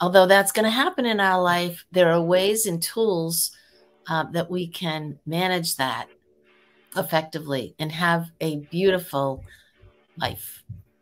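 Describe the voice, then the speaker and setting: A woman with a fairly low pitch speaks with an American accent and ordinary pitch variation. She talks at a fairly slow pace, with music in the background. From Massachusetts (Waltham). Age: 60s. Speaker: holistic wellness coach, retired corporate worker. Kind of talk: interview.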